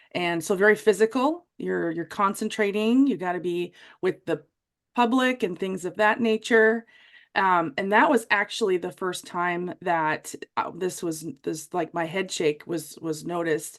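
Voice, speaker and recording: A woman speaks in a Wisconsin accent. Her pace is fairly slow. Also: medium pitch for a woman, ordinary pitch variation, quiet background. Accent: Wisconsin American. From US Midwest, Wisconsin. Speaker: military veteran and former vet tech with dystonia. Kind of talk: interview testimony.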